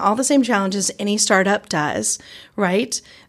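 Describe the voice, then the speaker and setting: A moderate pace in a Southern US accent, on a very clean recording with a silent background. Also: woman. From Georgia, US South. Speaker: biotech researcher and innovation organization leader. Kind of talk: casual interview. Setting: in-person studio/office interview.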